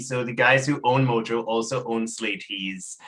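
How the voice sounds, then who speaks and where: A man speaks over noticeable background noise. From Trinidad. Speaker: talk show host. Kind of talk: interview.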